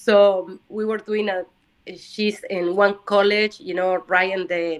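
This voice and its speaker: Her intonation stays fairly even as a woman talks at a medium pitch. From Uruguay. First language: Spanish. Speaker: language student. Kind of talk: casual chat. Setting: video call. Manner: halting.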